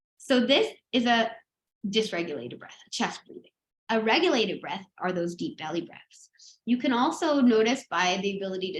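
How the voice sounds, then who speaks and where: Lively intonation marks a woman's normal speaking voice, which moves at a moderate pace. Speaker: breathwork and mindfulness teacher. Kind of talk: online workshop lecture.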